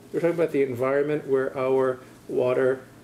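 A man speaks with a dark, mellow tone and a fairly high pitch. His pace is fairly quick, his intonation fairly even, and there is light background noise. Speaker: university professor. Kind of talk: lecture. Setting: lecture hall with audience. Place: classroom.

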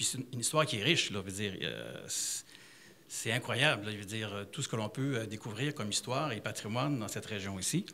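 A man with a Quebec accent, fairly low in pitch and bright and sharp in tone, at a fairly quick pace with ordinary pitch variation over light background noise. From Abitibi, Quebec. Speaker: tourism business owner; audience member. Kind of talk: public forum remarks. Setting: library public event with audience. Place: hall. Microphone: handheld.

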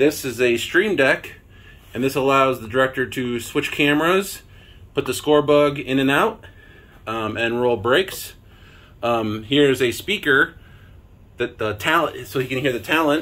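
A man's bright, sharp voice at a fairly slow pace, with ordinary pitch variation and long, frequent pauses. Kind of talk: casual tour narration. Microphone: phone near.

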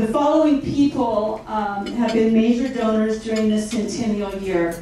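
A woman's voice in strong room echo, with light background noise. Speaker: event host. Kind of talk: formal speech. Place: hall. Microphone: pa.

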